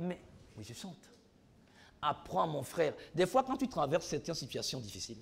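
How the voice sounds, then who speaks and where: At a moderate pace, a man with a fairly high pitch and vocal fry sounds animated, his pitch swinging very widely between long, frequent pauses. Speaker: preacher. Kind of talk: sermon. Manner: repetitive, animated.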